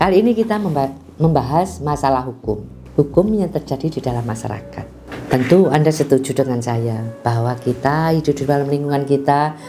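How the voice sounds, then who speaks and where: A woman's very deep, low voice with a strong Javanese accent, lively intonation and a fairly quick pace, with music in the background. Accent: thick Javanese. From Indonesia, Malang (East Java). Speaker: lawyer. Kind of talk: legal explainer talk to viewers. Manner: didactic, rhetorical questions.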